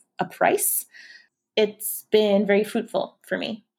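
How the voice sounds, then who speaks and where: Speaking with a Canadian accent in an ordinary speaking voice, a woman keeps a medium pitch and a moderate pace on a very clean recording with a silent background. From Toronto, Canada. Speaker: tutoring company founder. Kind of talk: interview.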